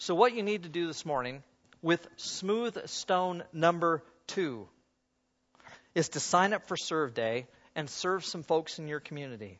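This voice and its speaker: A man speaks at a high pitch with lively intonation. His pace is fairly slow, with long, frequent pauses. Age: 70s. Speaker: preacher. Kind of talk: sermon. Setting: church.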